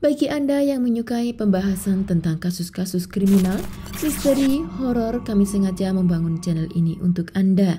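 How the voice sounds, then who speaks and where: Over noticeable background noise, a woman talks at a moderate pace and medium pitch with lively intonation. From East Java, Indonesia. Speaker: true crime narrator. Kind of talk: channel introduction.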